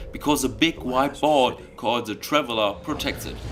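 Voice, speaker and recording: Over music in the background, a man talks at a fairly quick pace with a medium pitch. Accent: German. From Germany. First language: German. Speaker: gaming video narrator. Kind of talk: scripted narration. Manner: enthusiastic.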